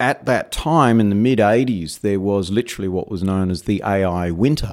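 A man's fairly low voice with an Australian accent, at a moderate pace, on a very clean recording with a silent background. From Perth, Western Australia. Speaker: AI research engineer. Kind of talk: interview. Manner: hesitant, filler words.

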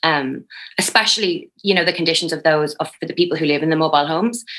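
With an Irish accent, a woman of fairly low pitch speaks in a bright, sharp tone with ordinary pitch variation. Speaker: newspaper editor. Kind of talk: news interview.

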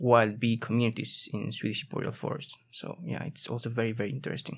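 A man's medium-pitched voice with a Spanish accent and fairly even intonation, in a very clean recording with a silent background. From southern Spain, Seville. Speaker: master's student. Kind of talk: casual interview. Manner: halting, many repetitions.

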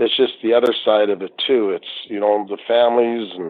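A man talks at a moderate pace with a Maritime Canadian accent. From Nova Scotia, Canada. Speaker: retired hockey referee. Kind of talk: interview.

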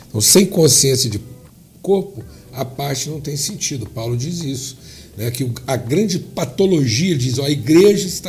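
In a room with audible echo, a man with a fairly high pitch talks at a fairly slow pace with lively intonation. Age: 60s. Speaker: pastor. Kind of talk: podcast interview.

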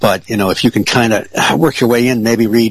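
Over noticeable background noise, a man speaks at a moderate pace in a fairly low pitch. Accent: American. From Michigan, Detroit area (Ferndale). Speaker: UFO researcher. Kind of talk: casual interview.

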